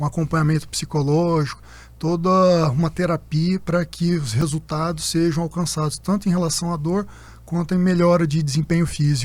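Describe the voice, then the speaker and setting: A man speaks with a high voice. His loudness stays very even. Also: fairly even intonation, moderate pace. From Minas Gerais, Brazil (Uberlândia, Triângulo Mineiro). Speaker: orthopedist and sports medicine doctor. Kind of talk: conference panel conversation.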